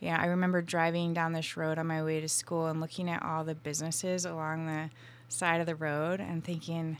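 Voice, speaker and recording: A woman with an unremarkable speaking voice talks at a fairly quick pace, her pitch fairly low. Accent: American. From Vermont, US. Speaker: tea company founder. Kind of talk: interview conversation.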